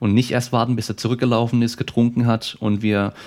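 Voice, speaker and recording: A man talks at a very fast pace with monotone, flat intonation. The recording is very clean, with a silent background. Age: 30s. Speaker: sports scientist and athletic trainer. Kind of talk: casual interview.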